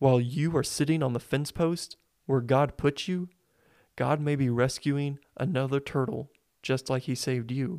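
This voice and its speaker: In a very clean recording with a silent background, a man with an American accent speaks in an ordinary speaking voice, his fairly high pitch carried by fairly even intonation at a moderate pace. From Springfield, Missouri. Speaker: podcast host and student organist. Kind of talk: devotional monologue.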